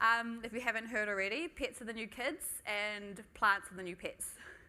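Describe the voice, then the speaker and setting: A woman's bright, sharp voice, fairly high in pitch, at a fairly quick pace. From New Zealand (Tokoroa, Waikato). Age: 20s. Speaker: manager giving a talk. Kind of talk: conference talk. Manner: casual, frequent um fillers.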